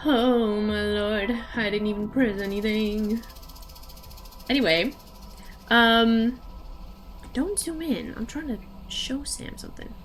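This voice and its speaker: Amid noticeable background noise and audible room echo, a woman speaks at a very slow pace with long, frequent pauses, a fairly high pitch and ordinary pitch variation. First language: Dutch. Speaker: streamer. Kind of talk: casual gaming stream chat. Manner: animated.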